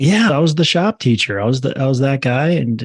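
A man speaks with an American accent at a moderate pace, his voice somewhat breathy. The sound is dry and close with no echo, over a quiet background. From Minnesota. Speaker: real estate investor. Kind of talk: interview.

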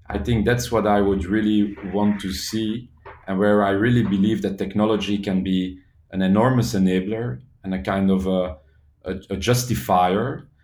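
Man with a Flemish accent, fairly low pitch, ordinary pitch variation and a moderate pace. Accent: Belgian (Flemish) English. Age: 40s. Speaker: social entrepreneur. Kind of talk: interview. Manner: halting.

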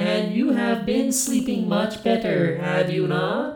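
Someone does a put-on character voice at a fairly high pitch, with a slight echo. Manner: calm, coldly matter-of-fact.

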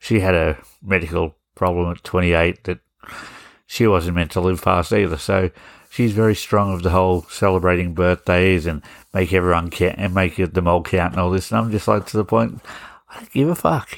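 A man talks at a fairly quick pace in a very deep, low voice with ordinary pitch variation. The recording is very clean, with a silent background. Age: 40s. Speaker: podcast host. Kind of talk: casual monologue.

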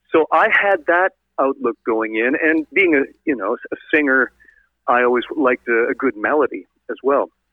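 A man with an unremarkable speaking voice talks at a moderate pace, with lively intonation and very even loudness. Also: fairly high pitch for a man. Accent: Canadian. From northern Ontario, Canada. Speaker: rock singer. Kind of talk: interview. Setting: phone call.

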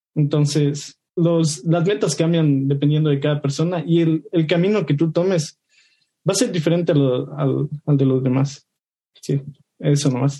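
The voice is dark and mellow, somewhat breathy, with very even loudness, fairly even intonation and a fairly slow pace. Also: man, fairly high pitch for a man. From Ecuador. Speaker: junior software developer. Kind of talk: casual discussion.

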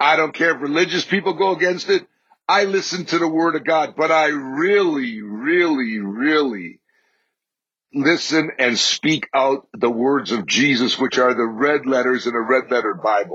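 A man talks at a moderate pace with lively intonation and a fairly high pitch. He has an ordinary speaking voice. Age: 60s. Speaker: faith podcast host. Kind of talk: faith talk monologue.

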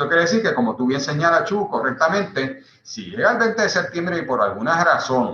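Speaking with a Puerto Rican accent, a man talks at a fairly quick pace and a fairly high pitch, his pitch swinging very widely. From Puerto Rico. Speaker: party electoral commissioner. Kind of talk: panel interview on video call.

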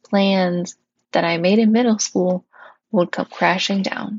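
Somewhat breathy, a woman with an Upper Midwest accent speaks at a moderate pace with medium pitch and ordinary pitch variation. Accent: Upper Midwest American. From northern Wisconsin, US Upper Midwest. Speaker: podcast host, seminary-trained chaplain candidate. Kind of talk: personal monologue podcast.

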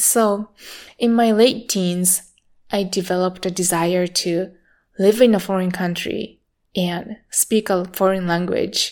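A woman with a Japanese accent talks at a medium pitch and a fairly slow pace. Her intonation is fairly even, and the recording is very clean with a silent background. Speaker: meditation teacher. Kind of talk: personal monologue.

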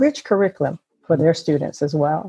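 A woman with an American accent speaks in a dark, mellow tone, somewhat breathy, the sound dry and close with no echo over a quiet background. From US South, South Carolina low country. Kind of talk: interview.

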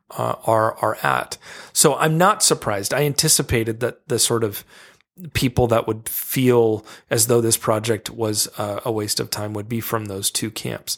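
A man with an unremarkable speaking voice talks at a fairly slow pace, medium in pitch with fairly even intonation. The recording is very clean with a silent background. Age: 40s. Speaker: author. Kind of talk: casual chat.

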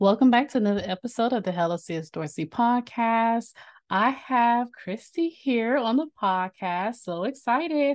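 Pitched fairly high, a woman with a normal speaking voice talks at a moderate pace with lively intonation. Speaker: podcast host. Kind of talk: casual interview chat.

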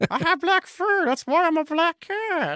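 This is a put-on character voice pitched extremely high. It moves at a moderate pace. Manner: cat-like voice.

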